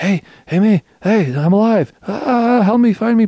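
Using a put-on character voice, a man talks at a high pitch with lively intonation at a moderate pace, the sound dry and close with no echo. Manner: desperate, pleading.

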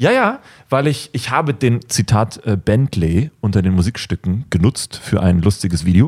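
A man speaks at a moderate pace, his pitch fairly low and his voice somewhat breathy, with lively intonation. The recording is very clean with a silent background, and the sound is dry and close with no echo. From Germany. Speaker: YouTuber and filmmaker. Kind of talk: casual chat.

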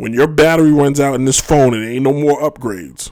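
This man talks at a moderate pace in a medium pitch with ordinary pitch variation. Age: 30s. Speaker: sports podcast host. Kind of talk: solo podcast monologue. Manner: animated.

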